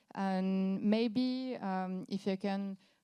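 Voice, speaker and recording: In a very clean recording with a silent background, a woman with a French accent speaks at a medium pitch in a dark, mellow tone with fairly even intonation. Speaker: company founder, panel moderator. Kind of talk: panel moderation. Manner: halting.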